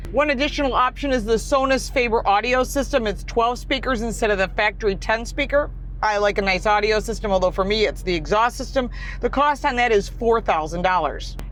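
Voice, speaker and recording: Fairly high-pitched, a woman talks at a fairly quick pace with ordinary pitch variation and very even loudness. Noticeable background noise sits behind her. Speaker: car reviewer. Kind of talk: car review. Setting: in a car.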